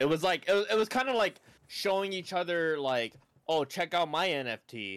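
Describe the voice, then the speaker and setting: A man speaks with a high pitch and lively intonation at a moderate pace. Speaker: streamer and podcast co-host. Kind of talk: casual chat. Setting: video call. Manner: talkative, frequent repetitions.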